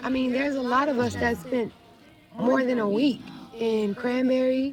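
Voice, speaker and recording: Soft-spoken and high-pitched, a woman talks at a fairly slow pace with fairly even intonation while music plays in the background. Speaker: roleplay server police chief. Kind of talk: meeting speech.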